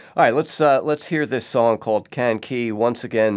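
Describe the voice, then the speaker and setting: In an ordinary speaking voice, a man holds a medium pitch and a moderate pace. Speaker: radio host. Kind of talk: interview. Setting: remote recording.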